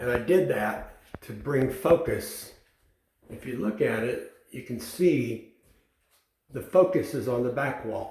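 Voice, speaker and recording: Using vocal fry and lively intonation, a man speaks at a very slow pace in a medium pitch, with long, frequent pauses and big swings in loudness. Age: 70s. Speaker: DIY home builder. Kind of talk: house tour. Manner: casual, conversational.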